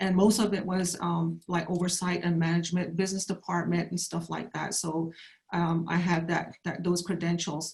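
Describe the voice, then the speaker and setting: A woman with an American accent speaks at a moderate pace in a fairly low pitch. Her intonation is monotone and flat, with vocal fry. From Navajo Nation, northern Arizona. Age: 60s. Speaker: political candidate. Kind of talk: candidate forum statement. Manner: halting, many fillers and restarts.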